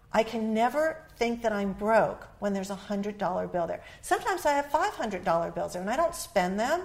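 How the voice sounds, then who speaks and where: At a fairly quick pace with hardly any pauses, a woman speaks in a fairly high pitch that swings very widely. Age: 60s. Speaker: author and relationship expert. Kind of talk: interview.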